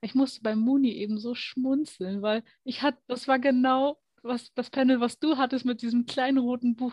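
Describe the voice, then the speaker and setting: A woman's high pitch with ordinary variation at a moderate pace, in a dry, close sound with no echo. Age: 20s. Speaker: card reading tutor. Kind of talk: casual chat.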